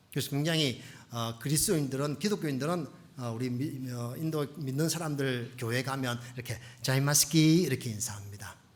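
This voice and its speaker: A man talks at a fairly quick pace with a medium pitch. Pitch variation is ordinary, and room echo is audible. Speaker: missionary pastor. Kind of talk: sermon. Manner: fast; animated.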